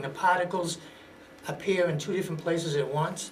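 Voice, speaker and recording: A man with an American accent talks at a moderate pace with a high pitch and fairly even intonation. Audible room echo and noticeable background noise surround him. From Massachusetts, Somerville. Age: 60s. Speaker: talk show guest. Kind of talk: interview.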